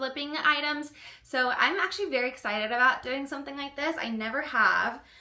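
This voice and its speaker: A woman with a high pitch speaks in a raised, projected voice at a fairly quick pace, with ordinary pitch variation over noticeable background noise. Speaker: fashion and sewing vlogger. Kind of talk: casual vlog tutorial. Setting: home office studio room. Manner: casual with many fillers.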